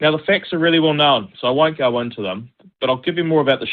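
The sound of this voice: A man talks at a fast pace. His pitch sits in the medium range.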